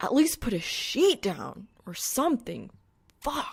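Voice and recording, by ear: Using a put-on character voice, a woman speaks slowly at a fairly high pitch with very wide pitch swings, a slightly husky edge, and vocal fry.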